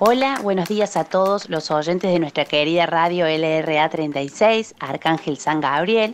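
A woman with a fairly low pitch speaks at a very slow pace. She hardly pauses at all. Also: ordinary pitch variation. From Argentina, Córdoba province. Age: 30s. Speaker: army doctor. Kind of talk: recorded message.

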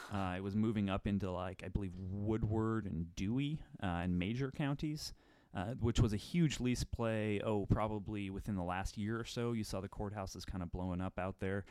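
The voice has a dark, mellow tone and ordinary pitch variation at a moderate pace. The recording is very clean, with a silent background. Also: man. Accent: American. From Menominee, Wisconsin (US Upper Midwest). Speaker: energy industry journalist. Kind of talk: casual expert discussion. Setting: office studio.

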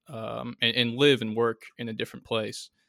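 On a very clean recording with a silent background, a man with an American accent speaks at a moderate pace and medium pitch, the sound dry and close with no echo. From Connecticut. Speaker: Navy veteran. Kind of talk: interview. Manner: halting.

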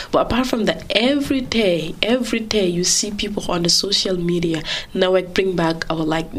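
A woman speaks in a fairly low pitch with ordinary pitch variation. Noticeable background noise runs under her voice. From Gambia. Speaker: journalist. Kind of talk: interview. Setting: studio. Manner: halting.

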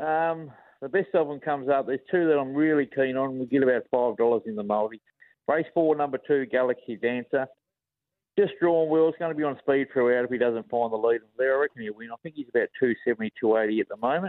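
At a very fast pace, a man with an Australian accent speaks at a medium pitch with ordinary pitch variation. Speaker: racing tipster. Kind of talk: casual chat.

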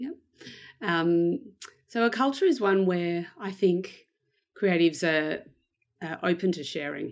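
Fairly slow with long, frequent pauses, a woman with an Australian accent speaks at a fairly low pitch, her lively intonation paired with big swings in loudness, in a very clean recording with a silent background. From Australia, Melbourne. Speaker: head of design operations at a bank. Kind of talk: interview.

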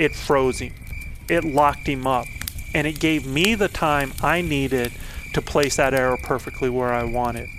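A man talks at a moderate pace in a fairly high pitch. Noticeable background noise runs underneath. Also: ordinary pitch variation. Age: 50s. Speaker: elk hunting coach and podcast host. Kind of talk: storytelling monologue.

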